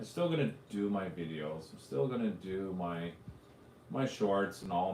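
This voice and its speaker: A man with a Canadian accent speaks at a fairly slow pace in a very deep, low voice, with audible room echo. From Canada, Ontario (Arnprior area). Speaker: drone youtuber hosting live show. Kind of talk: casual live stream chat. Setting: live stream.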